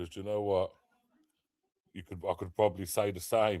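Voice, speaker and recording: Speaking with an English accent, a man with a very deep, low pitch keeps a fairly even intonation at a moderate pace. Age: 30s. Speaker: live streamer. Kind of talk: casual chat.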